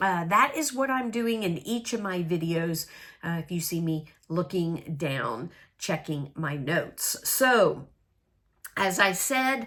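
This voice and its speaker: Very wide pitch swings at a very slow pace. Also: woman, fairly low pitch for a woman. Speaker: crafting video host. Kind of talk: casual crafting chat to camera. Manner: hesitant with many fillers.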